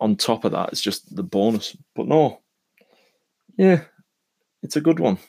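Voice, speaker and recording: A man with a British accent speaks fairly slowly at a fairly high pitch, with a dark, mellow tone and vocal fry. His pitch swings very widely, pauses are long and frequent, and the sound is dry and close with no echo. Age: 30s. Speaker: podcaster. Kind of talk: solo monologue podcast.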